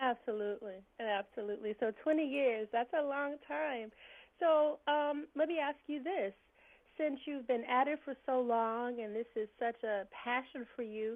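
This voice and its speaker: A woman speaks with a Southern US accent and a high voice. Her pitch moves up and down in an ordinary way. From Birmingham, Alabama. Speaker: blog interviewer. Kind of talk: interview.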